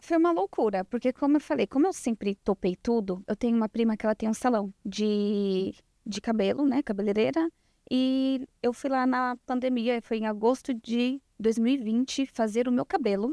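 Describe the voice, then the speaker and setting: Recorded very cleanly against a silent background, a woman with a fairly high pitch and a dark, mellow tone speaks with ordinary pitch variation in a dry, close sound with no echo. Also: moderate pace. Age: 20s. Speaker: lash designer. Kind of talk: podcast interview.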